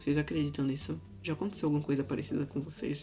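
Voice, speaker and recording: A woman with a very deep, low pitch speaks over music in the background. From Brazil, Recife. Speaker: vlogger. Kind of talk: casual vlog storytelling. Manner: animated.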